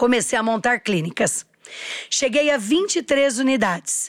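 A woman with a high pitch speaks at a fairly slow pace, her tone animated. Her pitch swings very widely on a very clean recording with a silent background. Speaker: entrepreneur. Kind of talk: interview.

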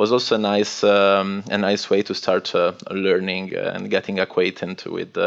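This man talks at a moderate pace with an Italian accent. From northwest Italy. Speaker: cybersecurity consultant. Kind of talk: interview.

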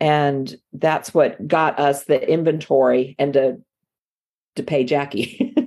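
Very slow speech with a slight Southern US accent carries a dark, mellow tone, fairly even intonation and very even loudness. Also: woman, very deep, low pitch for a woman. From Miami, Florida. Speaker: yarn shop owner, former university lecturer. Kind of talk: interview.

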